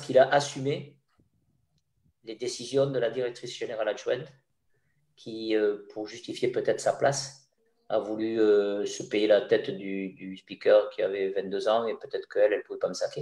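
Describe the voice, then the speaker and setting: Speech from a man at a middling tempo, marked by long, frequent pauses and large shifts in volume. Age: 60s. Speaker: former stadium announcer. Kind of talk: interview storytelling. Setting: video call. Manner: halting with repetitions.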